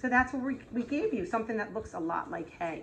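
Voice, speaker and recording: Here a woman is speaking. Her pitch swings very widely. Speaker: preschool teacher. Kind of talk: craft tutorial for young children. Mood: warm, gently playful. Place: classroom. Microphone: camera far.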